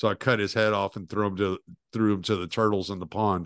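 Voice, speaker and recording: Dry and close with no echo, a man's fairly low voice moves at a fairly quick pace in a monotone, flat intonation over a quiet background. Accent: Southern US. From US South. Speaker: podcast host. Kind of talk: casual chat.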